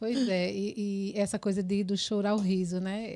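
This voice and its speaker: This woman's voice sits at a medium pitch with a dark, mellow tone. She speaks at a moderate pace in a very clean recording with a silent background. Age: 40s. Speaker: podcast host, psychologist. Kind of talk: podcast interview.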